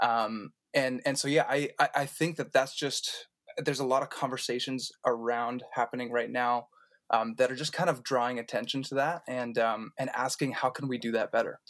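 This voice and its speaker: The recording is very clean, with a silent background. A man talks at a moderate pace and medium pitch, his intonation fairly even. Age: 20s. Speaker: worship pastor. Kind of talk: casual chat. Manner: halting.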